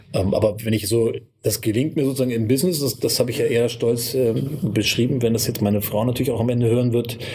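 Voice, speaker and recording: A man's medium-pitched voice at a very fast pace, fairly even in intonation, over noticeable background noise. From northern Hesse, Kassel. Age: 40s. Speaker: media entrepreneur and magazine publisher. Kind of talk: interview.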